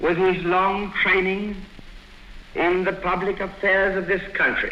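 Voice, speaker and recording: Projecting his voice, a man speaks very slowly at a high pitch. Background noise is noticeable. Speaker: abdicating king delivering a radio address. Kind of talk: formal historical radio address. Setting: 1936 radio broadcast recording. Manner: formal, measured, solemn.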